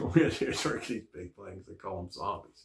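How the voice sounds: With vocal fry and a slightly mellow tone, a man speaks with ordinary pitch variation.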